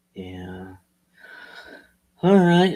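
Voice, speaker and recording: This man's voice has a dark, mellow tone. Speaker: real estate wholesaler. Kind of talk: sales call. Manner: monotone.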